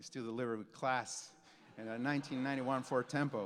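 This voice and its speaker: This man has a Mexican accent and a medium pitch. He talks at a moderate pace. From Mexico. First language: Spanish. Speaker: graphic designer, keynote speaker. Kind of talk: keynote speech. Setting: stage with audience. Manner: halting, many repeated words.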